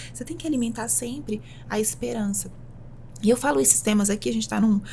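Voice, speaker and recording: Noticeable background noise accompanies a woman speaking very fast. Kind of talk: podcast interview answer.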